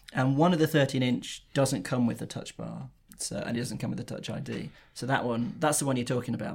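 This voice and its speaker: A man speaks at a fairly quick pace with vocal fry. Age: 30s. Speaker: magazine editor. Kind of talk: casual chat.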